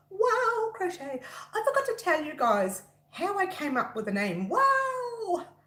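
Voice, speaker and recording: Loud and full of very wide pitch swings, a woman's voice comes through. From Italian heritage. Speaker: crochet designer and YouTuber. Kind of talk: casual livestream chat. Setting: live stream. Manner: talkative, excitable.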